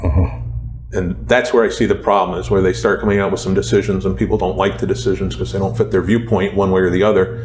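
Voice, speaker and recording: Over noticeable background noise, a man with a very deep, low voice and an American accent talks at a very fast pace with very wide pitch swings. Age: 50s. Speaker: retired police sergeant and attorney. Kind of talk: casual interview.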